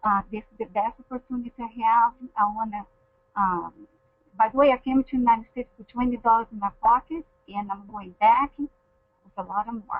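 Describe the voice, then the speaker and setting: The speaker has a non-native accent and a fairly quick pace, broken by long, frequent pauses. Intonation stays fairly even while loudness swings widely. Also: woman, fairly high pitch for a woman. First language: not English. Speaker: network marketing team leader. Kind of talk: motivational testimony. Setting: webinar call. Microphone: echo on the line.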